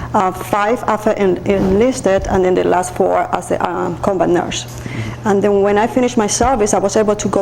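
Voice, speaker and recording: Speaking with a non-native accent at a fairly quick pace, a woman keeps a medium pitch, fairly even intonation and very even loudness over noticeable background noise. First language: Spanish. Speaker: nurse and army veteran. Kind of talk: interview.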